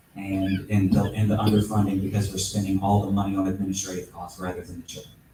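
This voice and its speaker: Through noticeable background noise, a man speaks at a very fast pace and fairly low pitch, with monotone, flat intonation and big swings in loudness. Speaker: congressional candidate. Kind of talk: candidate forum answer. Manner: halting.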